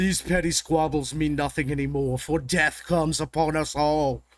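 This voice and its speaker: A man's booming, put-on character voice, fairly high-pitched, at a moderate pace, with very even loudness and flat, monotone intonation. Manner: booming, commanding.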